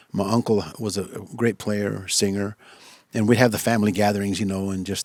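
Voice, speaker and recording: Very fast, fairly low male voice in a flat monotone, with a dry, close sound and no echo. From West Texas (Lubbock area). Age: 60s. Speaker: musician. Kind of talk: interview. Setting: studio. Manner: halting, many fillers.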